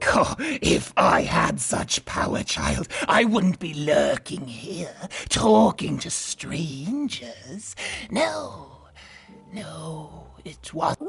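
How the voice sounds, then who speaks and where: Very slow, mid-pitched delivery in an affected character voice. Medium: video game. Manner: cryptic, solemn.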